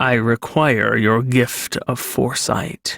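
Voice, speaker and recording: A man's put-on character voice, medium in pitch, very slow and fairly even in intonation. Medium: read story. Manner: curt, blunt.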